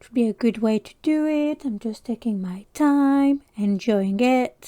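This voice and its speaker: This woman has a fairly high pitch, a dark, mellow tone and a French accent, with ordinary pitch variation. The sound is dry and close with no echo, and the recording is very clean over a silent background. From France. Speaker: crafting YouTuber. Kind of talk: casual chat. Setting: livestream.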